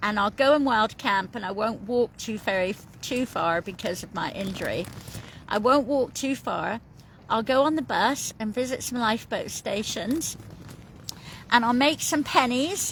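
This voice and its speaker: With a British accent, a woman speaks at a moderate pace and a fairly high pitch. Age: 50s. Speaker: coastal walker vlogger. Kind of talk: casual vlog chat. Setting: in a tent on the coast. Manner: chatty, rambling with fillers.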